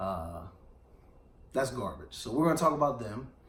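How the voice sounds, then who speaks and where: A man talks at a fairly quick pace in an animated tone. Audible room echo surrounds his voice. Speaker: radio show host. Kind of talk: casual chat.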